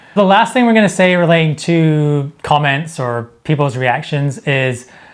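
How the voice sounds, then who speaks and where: A man with a Scottish accent speaks in a fairly high voice, with ordinary pitch variation. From Scotland. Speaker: YouTuber. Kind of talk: casual chat.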